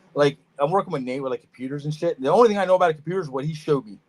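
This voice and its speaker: Talking at a very fast pace, a man with a Philadelphia accent uses lively intonation. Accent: Philadelphia-area. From US Northeast, Norristown, Pennsylvania. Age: 40s. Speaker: reptile breeder. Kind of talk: casual chat. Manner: choppy, searching for words.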